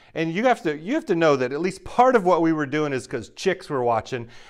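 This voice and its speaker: A man talks at a very fast pace with lively intonation. The background is quiet. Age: 40s. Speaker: pastor. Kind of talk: sermon. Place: home room.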